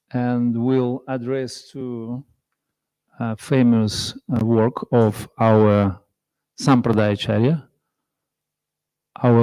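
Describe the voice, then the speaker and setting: A man with a strong non-native accent, a dark, mellow tone, medium pitch and fairly even intonation, dry and close with no echo on a very clean recording with a silent background. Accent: heavy foreign. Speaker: visiting monk and speaker. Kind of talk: religious class. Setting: temple with audience. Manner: halting.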